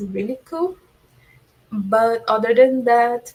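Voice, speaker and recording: Pitched fairly high, a woman speaks at a very slow pace. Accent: Portuguese. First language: Portuguese. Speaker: Eurovision fan guest. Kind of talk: casual chat. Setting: livestream.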